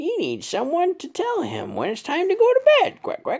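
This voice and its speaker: The speaker is a man doing a put-on character voice. He pitches it extremely high. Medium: read story.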